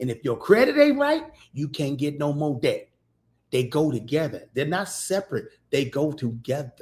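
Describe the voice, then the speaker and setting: The voice has an animated tone and is somewhat breathy, with ordinary pitch variation. It moves at a moderate pace with long, frequent pauses. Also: man. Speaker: podcast host teaching business credit. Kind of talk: livestream teaching talk.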